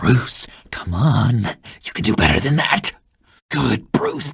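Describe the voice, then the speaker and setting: A man uses a put-on character voice at medium pitch, speaking at a fairly slow pace. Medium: video game. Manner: nervous.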